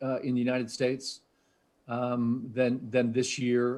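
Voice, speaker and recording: With a New England accent, a man speaks at a very slow pace. His pitch sits at a medium level. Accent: New England American. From US Northeast, New Hampshire. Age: 60s. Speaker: tech research executive. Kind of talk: interview. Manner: hesitant, many fillers.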